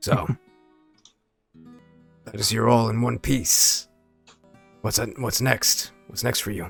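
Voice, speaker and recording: Using a raspy, put-on character voice at a medium pitch, a man speaks at a fairly slow pace with long, frequent pauses. Faint music plays in the background. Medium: actual play. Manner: easygoing, gentle.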